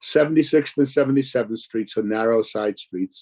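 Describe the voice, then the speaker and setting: The voice has a dark, mellow tone and a fairly quick pace, with a dry, close sound and no echo. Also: man. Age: 70s. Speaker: community activist. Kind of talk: public testimony. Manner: formal.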